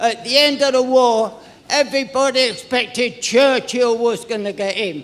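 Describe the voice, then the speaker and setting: Over noticeable background noise, a man with an extremely high pitch speaks at a moderate pace with fairly even intonation. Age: 90s. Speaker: audience member at a party conference. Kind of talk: impassioned public comment. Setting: conference hall with audience.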